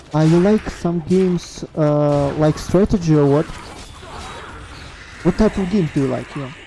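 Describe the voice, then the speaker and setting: Over background music, a woman with a very deep, low pitch talks at a moderate pace, using ordinary pitch variation and long, frequent pauses. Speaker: game streamer. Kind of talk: casual chat while gaming. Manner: halting, many hesitations.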